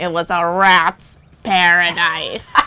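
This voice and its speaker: A put-on character voice at middle pitch. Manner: gleeful, gluttonous.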